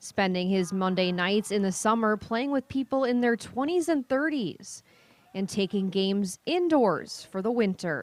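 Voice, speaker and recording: Fairly slow and very even in loudness, a woman with a plain, everyday voice speaks at a medium pitch with lively intonation. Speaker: TV news reporter. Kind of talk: TV news report.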